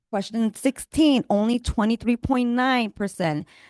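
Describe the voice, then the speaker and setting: Recorded dry and close with no echo against a quiet background, the speaker talks at a moderate pace with a Spanish accent. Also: woman. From Puerto Rico. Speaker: county recovery coordinator. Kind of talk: community meeting presentation. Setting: library meeting room.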